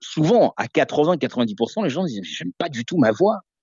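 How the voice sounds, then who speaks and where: A man's voice is heard. It has very wide pitch swings. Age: 40s. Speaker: radio host. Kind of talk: interview. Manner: halting.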